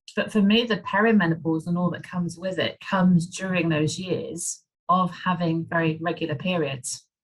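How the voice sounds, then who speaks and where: A woman's somewhat breathy, fairly low voice at a moderate pace, with fairly even intonation and hardly any pauses. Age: 50s. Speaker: menopause coach. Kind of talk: interview.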